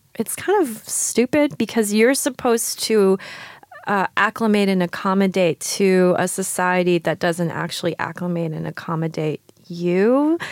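Her New York accent comes through as a woman speaks at a fairly slow pace in a medium pitch with lively intonation, the sound dry and close with no echo. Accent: American (New York). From New York, raised from age five. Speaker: writer and poet. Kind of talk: casual interview conversation. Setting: recording with hosts in France.

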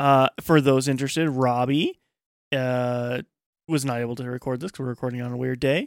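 At a fairly quick pace, an ordinary speaking voice keeps its intonation fairly even. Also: man, medium pitch for a man, dry, close sound with no echo. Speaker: podcast host. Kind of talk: casual chat. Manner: laughs often, joking.

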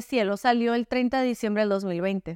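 Heard in a very clean recording with a silent background and a dry, close sound with no echo, a woman speaks with a Sonoran accent. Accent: northern Mexican (Sonora), somewhat blunt. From Sonora, northern Mexico. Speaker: novelist. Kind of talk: interview.

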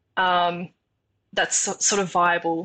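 In an Australian accent, a woman speaks with a bright, sharp tone over a quiet background. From Tasmania, Australia. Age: 20s. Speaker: engineering student. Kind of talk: interview.

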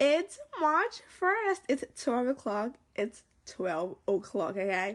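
A woman puts on a raspy, high-pitched character voice with very wide pitch swings. She speaks at a very slow pace. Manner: grumpy.

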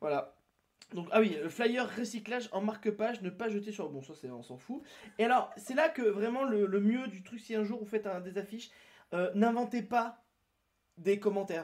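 A high-pitched male voice moves at a moderate pace, marked by long, frequent pauses. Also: lively intonation, big swings in loudness. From southern France, near Toulouse. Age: 30s. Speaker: streamer. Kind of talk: casual chat. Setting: live stream from his apartment.

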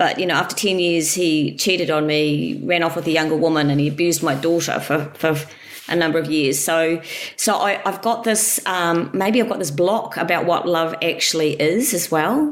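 A woman with a fairly low pitch speaks at a moderate pace with ordinary pitch variation and very even loudness. Audible room echo and noticeable background noise surround her voice. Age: 50s. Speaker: coaching client. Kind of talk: personal testimony in a coaching call. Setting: call with the coach. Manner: halting, with frequent fillers and restarts.

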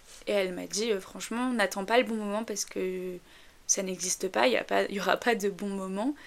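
A woman with a medium pitch and fairly even intonation talks at a moderate pace. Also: very clean recording, silent background. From northern France. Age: 20s. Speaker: podcaster. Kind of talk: casual monologue. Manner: hesitant, many fillers.

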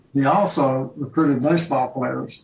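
In a Mississippi accent, a man speaks at a fairly slow pace. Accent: US Southern (Mississippi). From Jackson, Mississippi. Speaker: author and retired professor. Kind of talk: virtual panel discussion.

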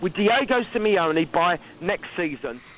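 A man's intonation rises and falls in a lively way. Noticeable background noise runs underneath. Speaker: football fan caller. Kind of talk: phone-in rant. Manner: impatient, emphatic.

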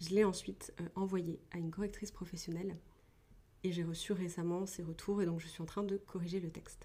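Her dark, mellow voice is somewhat breathy and medium in pitch as this woman speaks at a fairly quick pace with monotone, flat intonation. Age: 20s. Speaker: podcast host, author and script doctor. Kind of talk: casual solo podcast talk. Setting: at home, wrapped in a blanket.

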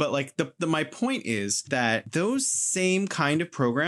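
A man with an American accent at a fairly slow pace, lively intonation, dry and close sound with no echo. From California. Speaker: podcast host. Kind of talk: casual chat. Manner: bookish, nerdy.

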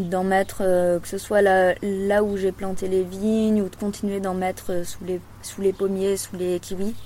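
This woman has a plain, everyday voice with a medium pitch. She talks at a fairly slow pace. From Loire, France. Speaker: farmer. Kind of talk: interview.

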